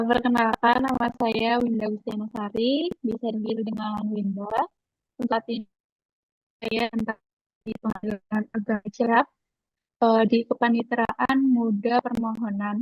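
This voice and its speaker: A woman speaks fairly slowly in a fairly high pitch, somewhat breathy and in a monotone, flat intonation. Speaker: court case analyst, civil service trainee. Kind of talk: self-introduction. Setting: video call. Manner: formal.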